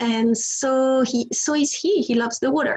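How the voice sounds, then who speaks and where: This woman speaks in a high voice with a French accent and ordinary pitch variation. Noticeable background noise is present. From France. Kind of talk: interview testimony.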